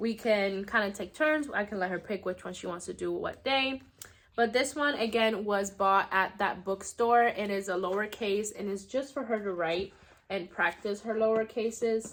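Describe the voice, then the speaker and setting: In a Spanish accent, a woman talks at a moderate pace and medium pitch. Her pitch varies in an ordinary way, and the recording is very clean with a silent background. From United States. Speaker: homeschooling mom vlogger. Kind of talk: casual vlog show-and-tell. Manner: casual with frequent fillers.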